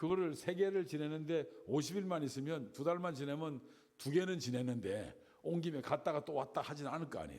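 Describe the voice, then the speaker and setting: A man with a fairly high pitch talks at a fairly quick pace with ordinary pitch variation and audible room echo. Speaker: Bible teacher. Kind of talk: Bible lecture.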